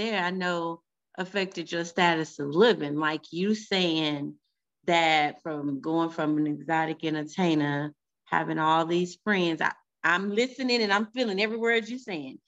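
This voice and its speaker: Against a quiet background, a woman with a plain, everyday voice talks at a moderate pace and fairly low pitch, with ordinary pitch variation. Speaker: podcast host. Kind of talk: interview, casual chat.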